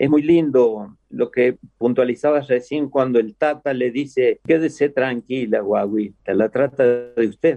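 With a dark, mellow tone and a medium pitch, a man speaks at a fairly slow pace with hardly any pauses, very even loudness and ordinary pitch variation, in a dry, close sound with no echo. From Córdoba, Argentina. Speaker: folk artist. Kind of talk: casual interview.

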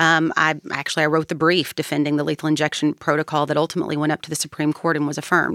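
A woman with a Kentucky accent and a very deep, low pitch, very fast and monotone with hardly any pauses, on a very clean recording with a silent background. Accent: Southern US (Kentucky). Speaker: political advocate for criminal justice reform. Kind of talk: interview.

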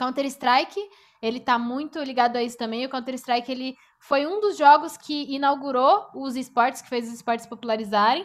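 Her high voice moves at a fairly quick pace as the woman speaks with ordinary pitch variation. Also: big swings in loudness. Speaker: esports presenter and journalist. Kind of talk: casual chat.

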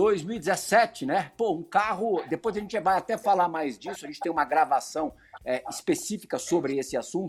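A man talks at a moderate pace with a high pitch. His intonation is lively. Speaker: sports TV host. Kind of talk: interview.

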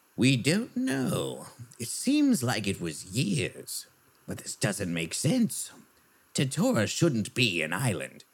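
The speaker uses a put-on character voice and delivers it at a fairly slow pace. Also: man, medium pitch for a man. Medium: actual play.

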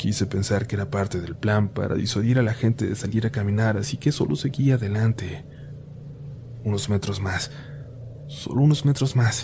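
There is noticeable background noise as a man speaks at a moderate pace. His pitch is medium, with ordinary pitch variation. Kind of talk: ghost story telling, scripted narration of spooky urban legends. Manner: intimate first-person confiding, as if telling a scary story to friends.

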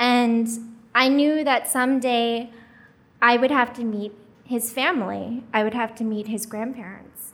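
A woman talks at a fairly slow pace with fairly even intonation and a fairly high pitch. Audible room echo surrounds her voice. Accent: American. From US, Korean adoptee. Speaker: storyteller, international adoptee. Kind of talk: live storytelling. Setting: stage with audience.

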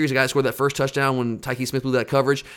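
Animated and at a medium pitch, a man with an American accent speaks in a bright, sharp tone. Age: 30s. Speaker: sports podcast host. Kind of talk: casual chat.

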